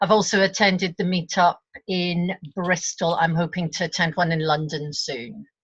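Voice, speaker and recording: A woman with a fairly low, somewhat breathy voice talks at a moderate pace with fairly even intonation against a quiet background. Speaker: facilitator, board candidate. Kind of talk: online meeting self-introduction. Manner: halting.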